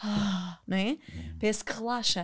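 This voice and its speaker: A woman speaks at a medium pitch. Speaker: podcast host and former dancer. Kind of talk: casual interview chat.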